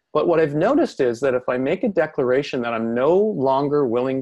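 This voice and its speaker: Fairly high in pitch, a man speaks in an ordinary speaking voice at a moderate pace with lively intonation. The recording is dry and close, with no echo. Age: 50s. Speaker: personal development coach. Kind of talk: webinar interview. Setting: online webinar. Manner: reflective, casual with fillers.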